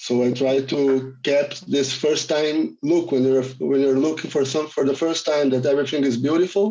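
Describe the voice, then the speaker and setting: A man with a Portuguese accent speaks at a moderate pace with hardly any pauses. His fairly high voice has a dark, mellow tone, very even loudness and fairly even intonation. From Brazil, Rio de Janeiro. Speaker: film director. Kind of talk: panel Q&A.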